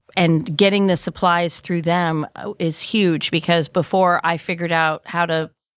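In a very clean recording with a silent background and a dry, close sound with no echo, a woman with an ordinary speaking voice, fairly low pitch and fairly even intonation speaks at a moderate pace. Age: 50s. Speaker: executive secretary, cancer survivor. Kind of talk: interview, personal story.

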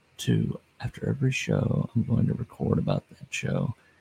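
Quietly and at a moderate pace, a man speaks in a dry, close sound with no echo. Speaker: wrestling podcast host. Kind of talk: casual solo monologue. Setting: home recording late at night. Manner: halting.

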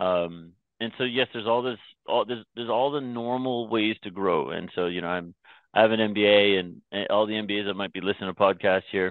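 A man with a Canadian accent speaks in a plain, everyday voice at a fairly low pitch. His intonation is fairly even and his pace fairly quick. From Canada (Toronto), born in Myanmar. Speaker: company founder and CEO. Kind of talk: interview.

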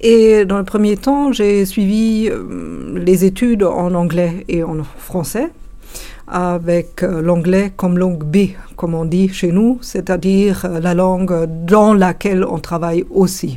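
A woman with a German accent, medium pitch and ordinary pitch variation, speaking at a very slow pace over noticeable background noise. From Germany. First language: German (speaking French). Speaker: conference interpreter. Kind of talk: interview. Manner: hesitant.

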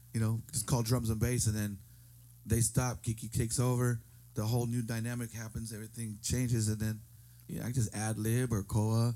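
This man has a dark, mellow tone at a medium pitch. His delivery is monotone and flat, at a very fast pace. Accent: American. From US. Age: 40s. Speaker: musician. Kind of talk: casual chat. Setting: studio.

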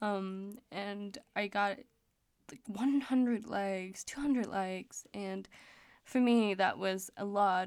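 On a very clean recording with a silent background, a woman with a slight Danish accent speaks very slowly at a medium pitch with ordinary pitch variation. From Denmark. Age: 20s. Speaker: podcast host. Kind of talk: casual monologue. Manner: frequent laughter and filler words.

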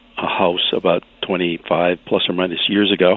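A man's very deep, low voice in monotone, flat intonation, over noticeable background noise. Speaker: architect and historian. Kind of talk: interview. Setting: remote interview.

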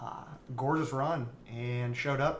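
A man speaks at a medium pitch. Noticeable background noise runs through the clip. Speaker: family business owner, new dad. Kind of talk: casual interview chat.

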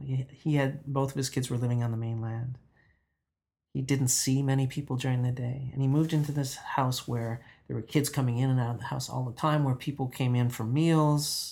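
On a very clean recording with a silent background, a man speaks in a dark, mellow, somewhat breathy tone with monotone, flat intonation. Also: medium pitch for a man, fairly quick pace. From Newfoundland, Canada (mining towns). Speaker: novelist. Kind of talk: interview conversation. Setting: office.

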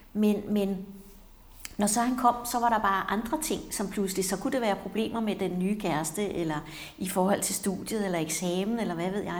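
A woman speaks at a medium pitch with ordinary pitch variation. Her pace is moderate, and the room echo is audible. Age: 60s. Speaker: psychotherapist, podcast co-host. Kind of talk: casual conversation. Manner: halting, many fillers.

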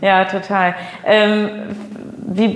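A woman is heard over noticeable background noise and audible room echo. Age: 20s. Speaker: radio host. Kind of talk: casual interview chat.

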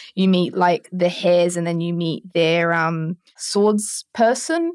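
A woman has an ordinary speaking voice at a medium pitch and a fairly slow pace. The recording is very clean, with a silent background. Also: dry, close sound with no echo. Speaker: library staff reader. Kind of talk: casual chat about books. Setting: studio.

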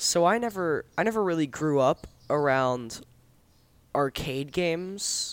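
Recorded very cleanly against a silent background, a man talks at a fairly slow pace and a fairly high pitch. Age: young. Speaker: podcast host. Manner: casual, rambling.

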